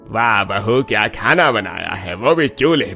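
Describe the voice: In a cartoonish character voice, a man speaks at a fairly low pitch and a fairly slow pace with lively intonation, vocal fry, a slightly husky edge, and a bright, sharp tone over faint music in the background.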